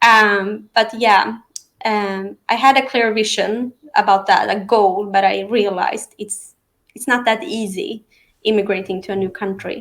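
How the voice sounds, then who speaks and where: A woman with a slight non-native accent speaks at a fairly slow pace and a fairly high pitch, her intonation fairly even but her loudness swinging widely. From Sweden. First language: Aramean and Arabic. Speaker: real estate professional. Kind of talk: interview. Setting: live online stream. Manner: natural, fluent English.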